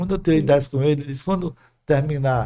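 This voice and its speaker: On a very clean recording with a silent background, a man talks at a very fast pace in a dark, mellow, somewhat breathy tone. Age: 80s+. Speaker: retired dentistry professor. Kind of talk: interview storytelling.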